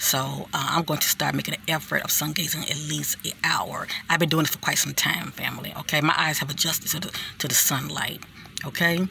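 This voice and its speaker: A woman talks at a fairly quick pace. Noticeable background noise runs under her voice. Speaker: spiritual vlogger. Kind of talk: casual monologue. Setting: outdoors.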